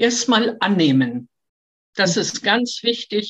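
A woman with vocal fry and lively intonation at a very slow pace. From Hamburg, northern Germany. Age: 70s. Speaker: retired tour guide living with Parkinson's. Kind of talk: life story interview. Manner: hesitant with fillers.

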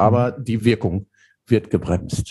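A man's somewhat breathy voice, dark and mellow in tone, at a fairly slow pace. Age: 50s. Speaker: theologian and leadership coach. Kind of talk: podcast interview.

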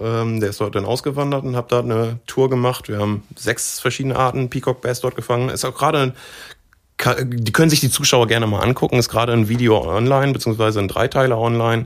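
Very fast speech from a man at medium pitch, with fairly even intonation. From Osnabrück, northern Germany. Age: 30s. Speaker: professional angler. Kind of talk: casual interview chat.

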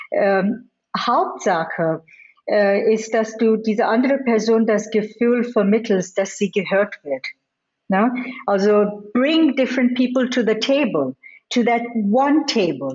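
A woman with a fairly high pitch speaks at a very slow pace, her intonation lively and her loudness very even. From India and the US. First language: not German (Indian languages/English) (speaking German). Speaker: business executive. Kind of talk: interview. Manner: frequent hesitations and English code-switching.

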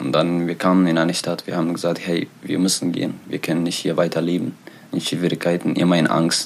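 A man speaks at a fairly quick pace in a very deep, low voice. His intonation is monotone and flat. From Eritrea. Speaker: author and refugee. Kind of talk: interview. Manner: halting.

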